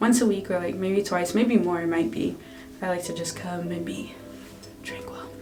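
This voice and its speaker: A soft-spoken woman talks at a fairly low pitch and a moderate pace. Music plays in the background, and the room echo is audible. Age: 20s. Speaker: beauty vlogger. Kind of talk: tutorial. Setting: in a bathroom at home. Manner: casual.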